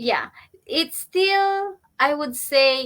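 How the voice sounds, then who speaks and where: In a Filipino accent, a woman speaks at a very slow pace. Her pitch swings very widely. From Philippines. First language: Tagalog. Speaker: online business entrepreneur. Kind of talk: interview. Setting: live video stream.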